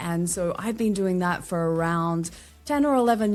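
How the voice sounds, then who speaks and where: With an Australian accent, a woman speaks with ordinary pitch variation on a very clean recording with a silent background. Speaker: LinkedIn strategist and podcaster. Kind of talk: podcast interview.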